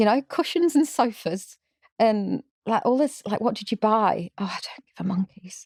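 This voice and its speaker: A woman with a strong English accent speaks at a fairly high pitch with lively intonation and a moderate pace. The sound is dry and close, without echo. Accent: English, still strong. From England. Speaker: social entrepreneur. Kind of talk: podcast interview. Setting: live podcast recording.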